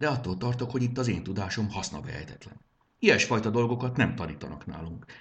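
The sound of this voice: The clip features an unforced reading voice.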